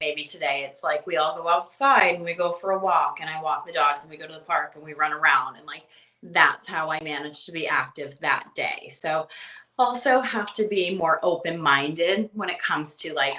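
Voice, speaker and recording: A woman with an unremarkable speaking voice talks at a moderate pace, her fairly low pitch showing ordinary variation while her loudness swings widely. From Eastern Canada. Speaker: mom blogger. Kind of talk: podcast interview answer. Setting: home, baby cooing in background. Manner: casual, chatty.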